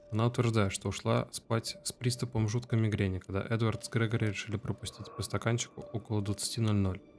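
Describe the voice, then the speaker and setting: With music in the background, a man talks at a moderate pace in a fairly low voice with fairly even intonation. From Russia, Tver. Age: 20s. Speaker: gamer, IT worker. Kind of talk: let's play commentary. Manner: casual.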